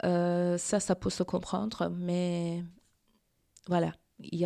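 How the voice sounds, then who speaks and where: In a Persian accent, a woman with a dark, mellow tone and fairly low pitch is heard on a very clean recording with a silent background. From Iran. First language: Persian (speaking French). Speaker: feminist activist. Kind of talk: interview. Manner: halting.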